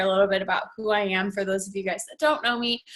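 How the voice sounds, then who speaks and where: Against noticeable background noise, a woman talks with an American accent. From Northern Virginia, US. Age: 20s. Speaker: fitness coach. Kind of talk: team call talk.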